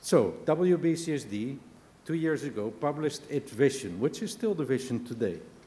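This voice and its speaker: Amid audible room echo, a man with a dark, mellow tone speaks at a fairly high pitch and moderate pace with lively intonation. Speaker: business leader, keynote speaker. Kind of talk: conference keynote speech. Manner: animated.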